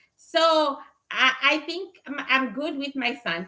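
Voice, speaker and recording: A woman speaks in a raised, projected voice with a Zimbabwean accent. Her pitch is high and her tone bright and sharp. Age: 50s. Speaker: spiritual reader and livestreamer. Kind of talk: casual livestream chat. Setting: livestream.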